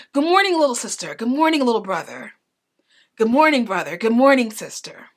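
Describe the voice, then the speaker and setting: A woman performs a put-on character voice, high-pitched with very wide pitch swings. She talks at a fairly quick pace, her loudness swinging widely. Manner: warm, welcoming greeting.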